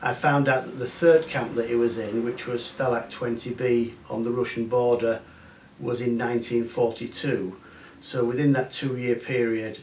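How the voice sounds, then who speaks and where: Noticeable background noise runs behind this recording. A man speaks at a moderate pace with a medium pitch. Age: 60s. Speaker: visitor interviewed about family history. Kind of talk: interview. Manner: hesitant, many fillers.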